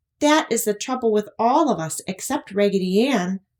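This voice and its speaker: A woman speaks in a put-on character voice, squeaky and fairly high-pitched. Her pace is moderate. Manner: crying out.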